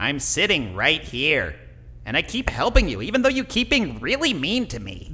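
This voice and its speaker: A man puts on a character voice, fairly high in pitch, at a moderate pace. Light background noise can be heard. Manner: earnest, wounded.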